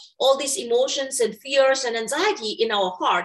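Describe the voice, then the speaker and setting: The speaker has a Burmese accent and keeps a moderate pace. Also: woman. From Myanmar. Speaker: meditation teacher. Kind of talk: interview. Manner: halting.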